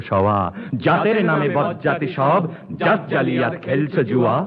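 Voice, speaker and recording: The voice belongs to a man. His pitch is fairly high. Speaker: poetry reciter. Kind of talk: poetry reading. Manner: precise enunciation.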